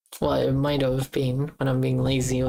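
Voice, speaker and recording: A woman speaks with a slight Australian accent in a very deep, low voice. Her intonation is monotone and flat. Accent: mild Australian. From Australia, Queensland. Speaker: game developer streamer. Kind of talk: casual live stream chat.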